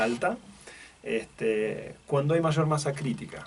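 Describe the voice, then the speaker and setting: Over noticeable background noise, a man with an Argentine accent speaks at a fairly slow pace. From Argentina. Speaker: logistics executive. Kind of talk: radio interview. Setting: radio studio. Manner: halting, many repetitions and fillers.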